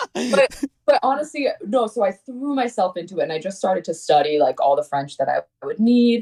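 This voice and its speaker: Speaking at a fairly quick pace in an American accent, a woman with a fairly high pitch and a dark, mellow tone swings her pitch very widely, her sound dry and close with no echo. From Connecticut, US. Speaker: singer-songwriter. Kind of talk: interview. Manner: animated.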